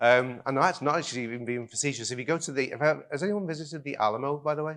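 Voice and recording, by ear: A man talks at a fast pace with a northwest English accent. His medium pitch varies in an ordinary way, and his tone is fairly bright. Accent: British, northwest English.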